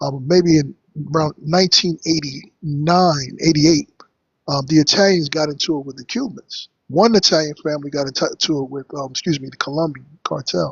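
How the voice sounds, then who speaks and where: A somewhat breathy man speaks at a moderate pace with fairly high pitch, ordinary pitch variation and big swings in loudness. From New York. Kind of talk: heated debate.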